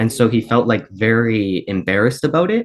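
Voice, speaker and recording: A man speaks at medium pitch. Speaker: student with type 1 diabetes. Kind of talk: panel discussion. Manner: fast; casual, many fillers.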